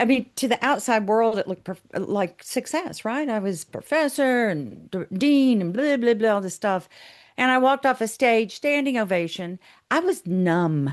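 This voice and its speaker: Animated and fairly high-pitched, a woman swings her pitch very widely against a quiet background. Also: moderate pace. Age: 60s. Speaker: psychotherapist and author. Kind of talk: interview conversation.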